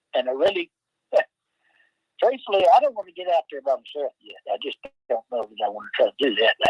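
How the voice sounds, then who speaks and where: Speech moves at a fairly quick pace but breaks into long, frequent pauses. The loudness swings widely. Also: man. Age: 60s. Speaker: bigfoot encounter witness. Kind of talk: casual chat.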